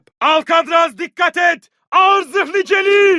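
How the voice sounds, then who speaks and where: This man uses a put-on character voice at an extremely high pitch. He shouts at a fairly slow pace. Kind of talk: video game dubbing. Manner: shouted combat callouts.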